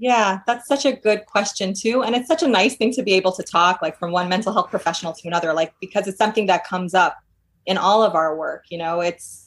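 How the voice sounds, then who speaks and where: A woman's normal speaking voice in an American accent, fairly quick in pace, with ordinary pitch variation. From New York. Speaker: clinical psychologist. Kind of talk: casual interview.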